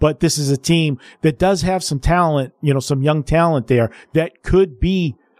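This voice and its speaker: Recorded dry and close with no echo, a man with an American accent uses an unremarkable speaking voice, fairly high in pitch with ordinary variation, at a moderate pace. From Pittsburgh, US. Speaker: guest radio host. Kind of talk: sports talk radio.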